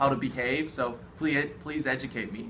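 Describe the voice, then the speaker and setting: A man with an American accent at a moderate pace and fairly even intonation, with noticeable background noise and audible room echo. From USA. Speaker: study abroad alumnus, university student. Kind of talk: interview. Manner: exaggerated vowels.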